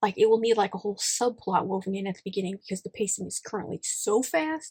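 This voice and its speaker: The speaker talks very fast with lively intonation and a somewhat breathy voice. The sound is dry and close, with no echo. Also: woman. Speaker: writing YouTuber. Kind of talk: casual vlog.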